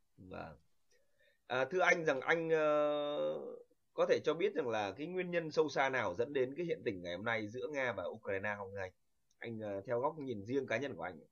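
Lively intonation marks this man's unremarkable speaking voice, set at medium pitch. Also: moderate pace. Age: young. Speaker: channel host. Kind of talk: interview.

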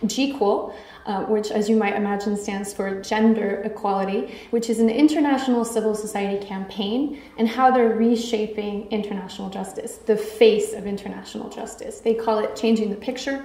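Audible room echo surrounds a woman who talks with fairly even intonation and hardly any pauses. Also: moderate pace. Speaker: conference speaker. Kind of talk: conference talk. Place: hall. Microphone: podium.

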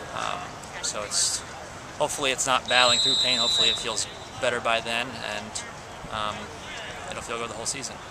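Over loud background noise, a man's words come at a fairly quick pace. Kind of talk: interview answer. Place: stadium. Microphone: phone near.

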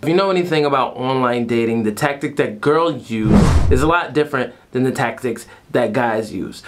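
With music in the background, a man's pitch varies in an ordinary way as he talks. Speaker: vlogger. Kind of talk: casual vlog chat. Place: home room.

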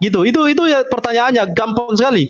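A man talks at a very fast pace against a quiet background. His pitch is extremely high, with ordinary pitch variation. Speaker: debate moderator. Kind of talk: moderating a debate. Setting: video call. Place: home room. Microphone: headset.

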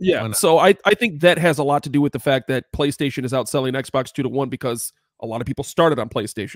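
Against a quiet background, a man with a fairly high pitch talks at a very fast pace with hardly any pauses and ordinary pitch variation, in a dry sound with no echo. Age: 30s. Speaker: podcast co-host. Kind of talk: casual chat. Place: home room. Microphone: studio mic.

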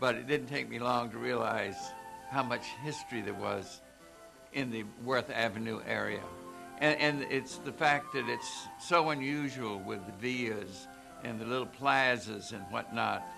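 Clear music plays in the background as a man talks at a fairly slow pace with ordinary pitch variation. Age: 80s+. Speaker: historian and storyteller. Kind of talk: tour host narration. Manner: casual, anecdotal, hesitant. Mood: warm, reminiscing. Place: studio.

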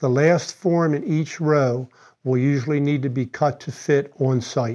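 This man has a dark, mellow tone at a medium pitch. His intonation stays fairly even.

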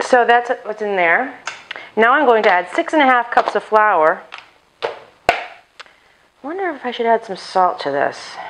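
A woman at a fairly slow pace, with very wide pitch swings and long, frequent pauses. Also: fairly high pitch for a woman. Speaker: home cooking video host. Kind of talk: cooking tutorial. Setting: home kitchen, chest mic. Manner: casual, chatty with asides.

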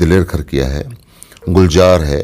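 Against a quiet background, a man with a Haryanvi accent speaks very slowly in a very deep, low pitch. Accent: Haryanvi-accented Hindi. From Haryana, Dujana village (Jhajjar); Haryana. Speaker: film actor; actor being interviewed. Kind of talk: interview. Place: home room. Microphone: phone near.

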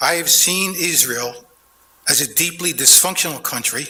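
A man talks with an American accent against noticeable background noise. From Philadelphia, US. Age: 70s. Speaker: public commenter at council meeting. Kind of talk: prepared public comment. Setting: city council chamber. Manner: formal.

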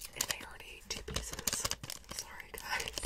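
A woman is whispering. Her pace is moderate. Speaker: ASMR creator. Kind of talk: soft-spoken ASMR narration. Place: home room. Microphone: studio mic.

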